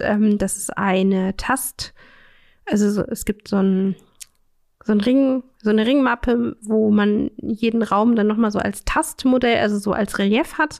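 At a fairly slow pace, a woman speaks at a medium pitch in a plain, everyday voice. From Saxony-Anhalt, Magdeburg. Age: 30s. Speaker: counselor for blind people. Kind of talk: casual interview.

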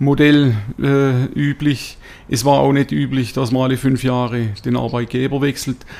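A man talks in a monotone with flat intonation and a medium pitch. His pace is fairly slow. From Swabia, southern Germany (near Tuttlingen). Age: 50s. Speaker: company executive. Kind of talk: interview. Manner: hesitant with many fillers.

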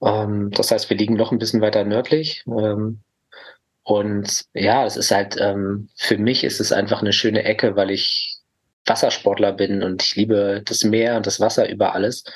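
A fairly low-pitched man, fairly slow and monotone, his intonation flat. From Lower Rhine region, Germany (Mönchengladbach/Neuss). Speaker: therapist. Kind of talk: casual interview.

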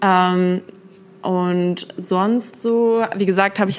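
A woman's medium-pitched voice holds fairly even intonation. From Berlin, Germany. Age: 20s. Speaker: student and sneaker YouTuber. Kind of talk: casual chat. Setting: in person at her place in Essen.

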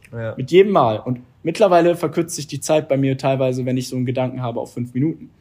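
His tone dark and mellow, a man with a medium pitch talks at a very fast pace with ordinary pitch variation. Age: 20s. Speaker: entrepreneur and former handball player. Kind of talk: interview.

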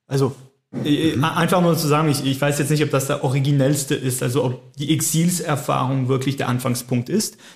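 A somewhat breathy man at a fairly high pitch, moderate pace, very even loudness and fairly even intonation. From French-speaking Switzerland. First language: French (speaking German). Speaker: theologian. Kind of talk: casual chat. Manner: halting.

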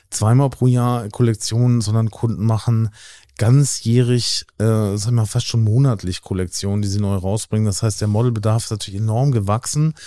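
A man speaks at a fairly quick pace with a dark, mellow tone and medium pitch. His intonation stays fairly even, and the recording is very clean with a silent background. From Hamburg, Germany. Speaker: model agency owner. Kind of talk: interview.

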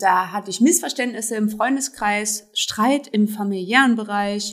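A woman speaks in a plain, everyday voice. Her pitch is fairly high, varying in an ordinary way, and her pace is fairly slow. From Germany, Trier (Rhineland-Palatinate). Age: 30s. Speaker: self-help group founder. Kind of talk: interview.

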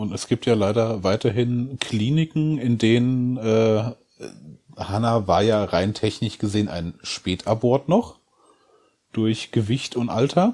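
A man speaks at a very slow pace with a dark, mellow tone. His medium pitch shows ordinary variation. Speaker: bereaved father. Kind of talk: personal testimony in interview.

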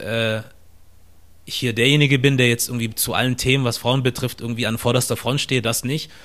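Speaking at a fairly quick pace, a man keeps a medium pitch. His intonation is monotone and flat. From southern Germany, near Stuttgart. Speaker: podcaster and content creator. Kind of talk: interview conversation.

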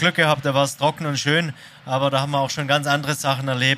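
At a very fast pace, a man with a fairly high pitch and a bright, sharp tone speaks in a monotone, flat delivery. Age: 40s. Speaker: racing driver. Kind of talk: casual chat. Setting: stage with audience.

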